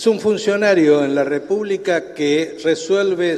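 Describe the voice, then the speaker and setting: Noticeable background noise sits under this recording. A man speaks at a fairly slow pace with ordinary pitch variation. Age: 70s. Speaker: supreme court justice. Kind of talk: committee hearing speech.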